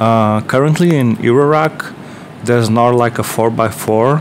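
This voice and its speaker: At a moderate pace, a man with a Portuguese accent speaks at a medium pitch with ordinary pitch variation over light background noise. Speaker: DIY synthesizer builder and video maker. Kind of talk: tutorial video log. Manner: halting, many filler words; enthusiastic. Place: home room. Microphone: earbuds.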